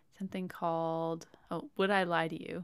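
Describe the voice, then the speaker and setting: Here is an ordinary speaking voice from a woman, medium in pitch, at a moderate pace. The recording is very clean, with a silent background. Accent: Canadian. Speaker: podcast host. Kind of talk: casual chat. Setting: home recording.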